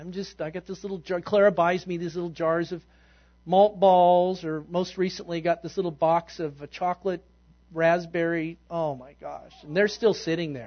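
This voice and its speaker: A man speaks at a high pitch with fairly even intonation. His loudness swings widely. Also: moderate pace. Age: 50s. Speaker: pastor. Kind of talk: sermon. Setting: church.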